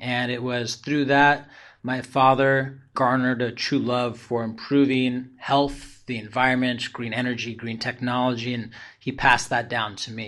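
A man speaks with an American accent at a moderate pace. His intonation stays flat and monotone. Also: medium pitch for a man. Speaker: entrepreneur. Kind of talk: interview.

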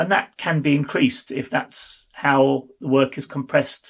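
In a very clean recording with a silent background, a man with a British accent talks at a moderate pace in a fairly high pitch. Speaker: university researcher. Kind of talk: interview.

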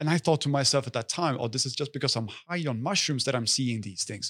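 A man speaks with a Swedish accent and lively intonation. The recording is very clean, with a silent background. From Sweden, Stockholm. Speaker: health and wellness influencer. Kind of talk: casual chat. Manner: animated.

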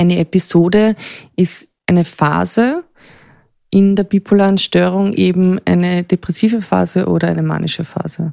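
Moderate-paced speech from a woman with an Austrian accent, dry and close with no echo. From Austria, Vienna area. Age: 40s. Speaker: person with bipolar disorder. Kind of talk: personal testimony. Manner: halting, pausing to think.

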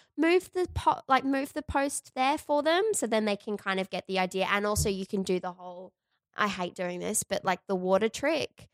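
A woman with an Australian accent talks at a moderate pace, at medium pitch with lively intonation. The recording is very clean, dry and close, with no echo and a silent background. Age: 20s. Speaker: podcast host. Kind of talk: casual chat.

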